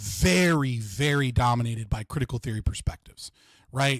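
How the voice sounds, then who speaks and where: This is a man with an American accent. There is some breathiness in his voice. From United States. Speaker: livestream host. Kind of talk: interview discussion. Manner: fast, verbose.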